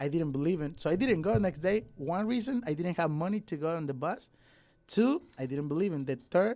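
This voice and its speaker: A dark, mellow tone at a fairly quick pace, with lively intonation. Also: man, high pitch for a man. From Mexico, Nayarit. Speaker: musician and dancer. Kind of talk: radio interview. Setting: radio studio.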